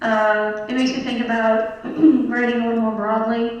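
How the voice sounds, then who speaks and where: Noticeable background noise sits behind the speech. A woman talks with a fairly high pitch. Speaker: kindergarten teacher and sketch writer. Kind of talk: interview answer on stage.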